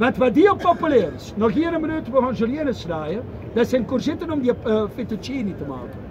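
This man speaks at a fairly quick pace with an Antwerp accent and an extremely high pitch. Noticeable background noise sits under his voice. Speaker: market vendor. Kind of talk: market sales pitch. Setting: outdoors. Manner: lively, persuasive. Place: market. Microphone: camera far.

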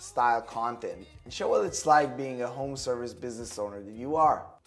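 A man talks at a moderate pace. Faint music sits in the background. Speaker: marketing coach. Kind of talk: tips short video to camera. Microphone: lapel.

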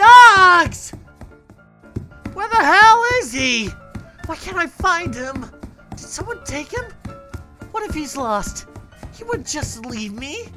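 Faint music plays in the background as a put-on character voice speaks at a fairly slow pace. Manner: distraught, emotional.

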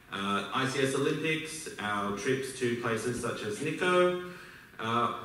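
A man speaks with an Australian accent and lively intonation. The room echo is audible. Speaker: business school alumnus. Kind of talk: speech to an audience. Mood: warm, reflective. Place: hall.

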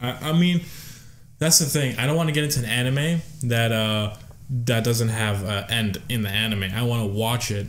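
With a normal speaking voice, a man speaks at a moderate pace, medium pitch and ordinary pitch variation. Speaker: podcast co-host. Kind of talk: casual chat. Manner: rambling.

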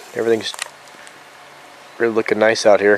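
A man is speaking. The sound is dry with no echo, with light background noise. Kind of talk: casual vlog chat. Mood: relaxed, warm. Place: forest. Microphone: phone near.

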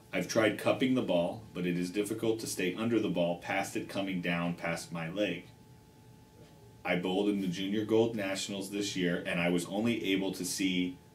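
Over light background noise, a man with a very deep, low pitch speaks at a moderate pace with fairly even intonation. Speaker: show host. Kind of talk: reading a viewer question aloud. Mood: light, joking start. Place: shop.

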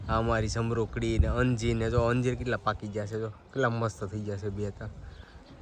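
There is audible room echo around a man's voice. He speaks at a medium pitch with fairly even intonation. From Gujarat, Saurashtra (Vavera village, Rajula area). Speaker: family vlogger. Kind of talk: casual vlog narration. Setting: outdoors, village temple and rooftop.

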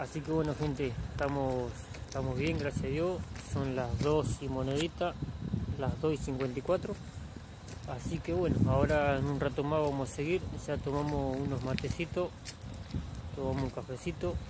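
A man with ordinary pitch variation and long, frequent pauses, dry sound with no echo, over loud background noise. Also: moderate pace. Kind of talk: casual vlog chat. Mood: relaxed, upbeat. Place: open country. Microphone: phone near.

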